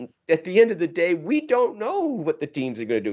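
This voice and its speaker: A man speaks at a moderate pace in a plain, everyday voice. His intonation is lively, and the background is quiet. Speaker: hockey podcast co-host. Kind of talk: casual chat.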